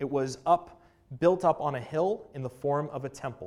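A man speaks in an ordinary speaking voice, fairly high in pitch, with ordinary pitch variation and a fairly slow pace. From Canada. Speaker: assistant pastor. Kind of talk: sermon. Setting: church.

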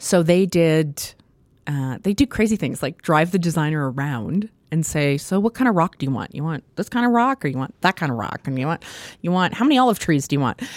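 In a Canadian Prairie accent, the speaker moves at a fairly quick pace with very wide pitch swings, in a very clean recording over a silent background with a dry, close sound and no echo. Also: woman, fairly low pitch for a woman. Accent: Canadian English (Prairies). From Saskatchewan, Canada (small town near Saskatoon). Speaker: theatre designer and professor. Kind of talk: interview.

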